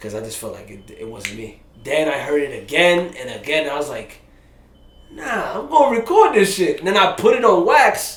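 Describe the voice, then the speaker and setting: Amid noticeable background noise, a man with a New York accent speaks at a moderate pace in a high pitch. His pitch swings very widely and his loudness rises and falls sharply. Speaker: rapper. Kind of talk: casual interview. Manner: animated; halting.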